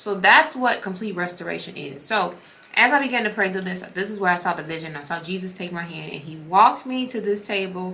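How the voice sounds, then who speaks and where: Talking at a fairly quick pace in an animated tone, a woman with a medium pitch is heard through audible room echo and noticeable background noise. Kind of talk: casual devotional vlog. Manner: fast when excited.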